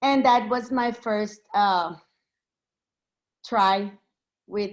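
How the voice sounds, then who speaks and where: A woman speaks at a very slow pace with a Mexican accent. Her pitch varies in an ordinary way. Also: quiet background. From Mexico, Texas border region. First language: Spanish. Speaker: poet and pre-K bilingual teacher. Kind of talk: poetry reading introduction. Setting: video call. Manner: halting, many fillers.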